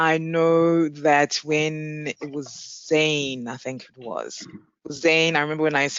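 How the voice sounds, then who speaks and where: In a South African accent, a woman speaks at a very slow pace with a very deep, low pitch. Her intonation is monotone and flat, with big swings in loudness. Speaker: payments executive, panelist. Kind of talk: panel discussion.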